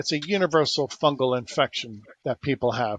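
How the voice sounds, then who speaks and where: A man in a plain, everyday voice speaks at a fairly quick pace with a fairly high pitch and lively intonation. The sound is dry and close with no echo, over a quiet background. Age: 60s. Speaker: inventor and alternative healer. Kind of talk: interview.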